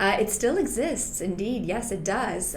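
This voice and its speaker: With a French-Canadian accent, a woman talks with ordinary pitch variation amid audible room echo and noticeable background noise. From Quebec, Canada (Montreal). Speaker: health insurance broker and former lawyer. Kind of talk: interview.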